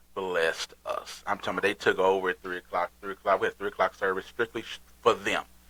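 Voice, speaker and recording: A man with an American accent speaks very fast with hardly any pauses, over noticeable background noise, in a dry, close sound with no echo. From Texas. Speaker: podcast host and pastor. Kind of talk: casual chat. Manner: animated.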